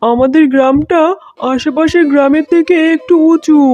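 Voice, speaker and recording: A high-pitched, cartoonish character voice. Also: moderate pace. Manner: calm, reassuring.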